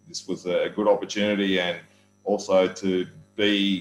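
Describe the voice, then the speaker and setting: A man with an Australian accent speaks at a fairly low pitch. Music plays in the background. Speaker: volleyball coach and commentator. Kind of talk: interview.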